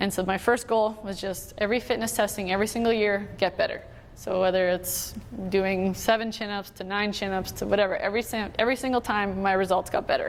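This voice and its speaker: A woman with a Canadian prairie accent talks at a fairly quick pace in a medium pitch, her intonation flat and monotone. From Manitoba, Canada. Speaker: Olympic hockey player. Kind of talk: motivational talk.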